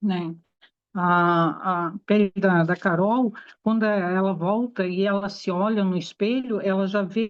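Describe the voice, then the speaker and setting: A woman talks in an unremarkable speaking voice. Her pitch is medium, with fairly even intonation. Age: 60s. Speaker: aesthetician. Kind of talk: talk to an audience.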